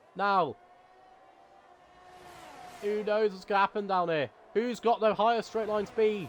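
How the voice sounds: A high-pitched male voice, its intonation fairly even. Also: fairly slow pace.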